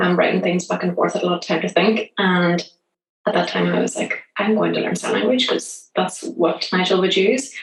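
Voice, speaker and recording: The speaker is a woman with a Northern Irish accent. She talks at a fairly quick pace. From Northern Ireland, Belfast. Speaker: app founder. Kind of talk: interview. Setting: remote call.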